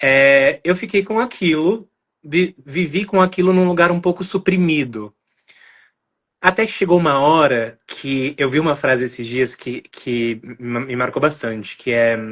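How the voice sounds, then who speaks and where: A man with a normal speaking voice talks at a fairly slow pace, fairly high in pitch, with lively intonation. The background is quiet. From Brazil, São Paulo. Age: 20s. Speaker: podcast guest. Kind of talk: interview conversation, personal testimony.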